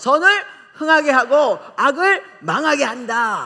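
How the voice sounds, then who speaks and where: A woman speaks in an animated tone with very wide pitch swings. Noticeable background noise can be heard. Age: 60s. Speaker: pastor. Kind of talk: sermon.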